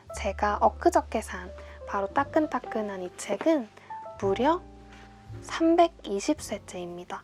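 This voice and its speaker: With music playing behind her, the woman talks fairly slowly and her pitch swings very widely. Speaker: singer-songwriter. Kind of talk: book introduction to camera.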